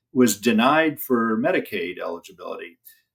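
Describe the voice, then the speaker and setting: This man has a Midwestern American accent. His pitch sits in the medium range and varies an ordinary amount. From Indiana, US Midwest. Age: 60s. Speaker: elder law attorney. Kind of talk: interview. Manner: halting, frequent fillers.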